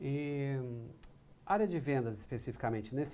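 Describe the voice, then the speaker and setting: This man speaks at a moderate pace with a fairly high pitch and ordinary pitch variation. His tone is dark and mellow. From Paraná, Brazil. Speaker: business coach and live show host. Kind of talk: interview.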